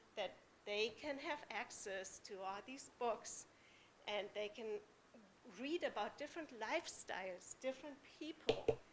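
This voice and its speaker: A woman with a German accent speaks at a fairly slow pace, her high pitch showing ordinary pitch variation. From Germany. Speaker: parent speaking at public comment. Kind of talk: public comment at school board meeting. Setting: school board meeting in public.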